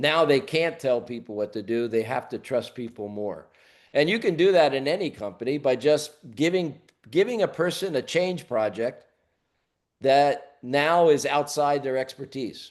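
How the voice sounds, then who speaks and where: Against a quiet background, a man talks at a moderate pace with lively intonation. He has an ordinary speaking voice, fairly high in pitch. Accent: American. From US. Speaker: leadership coach. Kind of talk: webinar Q&A.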